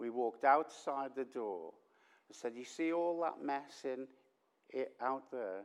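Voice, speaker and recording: With a Liverpool accent, a man of medium pitch speaks at a fairly slow pace with ordinary pitch variation. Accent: Liverpool (Scouse). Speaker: visiting preacher. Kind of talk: sermon. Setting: church with congregation. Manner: loud; drops voice at times.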